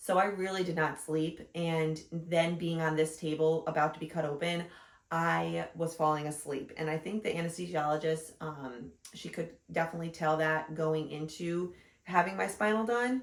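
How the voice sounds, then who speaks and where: With ordinary pitch variation, a woman keeps to a moderate pace as she talks. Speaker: vlogger, new mother. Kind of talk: casual chat. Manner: loud.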